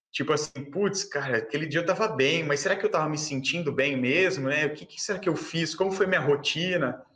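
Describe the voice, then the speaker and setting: A man talks at a fairly quick pace with hardly any pauses, his pitch fairly high and its variation ordinary, over noticeable background noise. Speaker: swimming channel host. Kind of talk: casual interview. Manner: animated.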